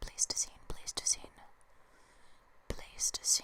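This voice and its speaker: A woman whispers over noticeable background noise. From Canada. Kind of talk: ASMR book reading. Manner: whispered, up close; soft-spoken, slow.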